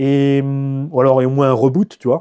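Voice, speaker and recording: The recording has a dry, close sound with no echo and a quiet background, capturing a man with a medium pitch and a dark, mellow tone. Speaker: RC car YouTuber. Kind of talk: casual monologue. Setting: home garage. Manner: animated.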